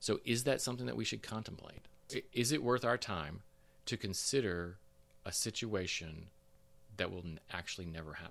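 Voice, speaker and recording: The pitch swings very widely, with vocal fry throughout. The pace is moderate, broken by long, frequent pauses. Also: man, fairly low pitch for a man. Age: 50s. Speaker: podcast co-host. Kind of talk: casual chat.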